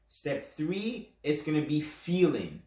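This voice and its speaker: A man with a fairly high pitch speaks very slowly, somewhat breathy and with lively intonation, in a room with audible echo. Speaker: podcast host, self-hypnosis coach. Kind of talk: instructional podcast talk. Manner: casual, with fillers and restarts; stutters at times.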